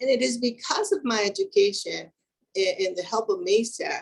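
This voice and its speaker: A woman with a Spanish accent. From Mexico, Acapulco. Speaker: engineer, keynote speaker. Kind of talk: keynote speech.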